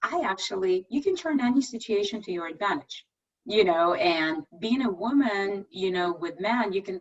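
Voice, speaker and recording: Lively in intonation, a woman speaks at medium pitch with a non-native accent. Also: moderate pace. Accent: foreign. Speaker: tech executive. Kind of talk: presentation and Q&A.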